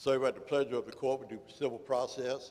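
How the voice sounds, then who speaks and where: This is a man's voice. He speaks with a Louisiana accent. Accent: Louisiana Southern US. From Louisiana, Port Allen. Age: 60s. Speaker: political candidate, law enforcement officer. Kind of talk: candidate forum speech. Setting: community center with audience. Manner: halting, many fillers.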